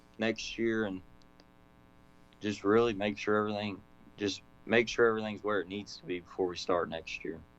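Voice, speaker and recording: In an American accent, a man with a fairly low voice speaks in a monotone, flat intonation. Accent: own accent, said to talk slow. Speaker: modified race car driver. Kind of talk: casual interview.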